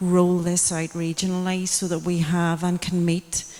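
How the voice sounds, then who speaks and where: A woman speaks at a moderate pace in a fairly low pitch, her intonation monotone and flat. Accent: Tyrone. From Northern Ireland, County Tyrone. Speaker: audience member. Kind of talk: public Q&A comment. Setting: public event with audience.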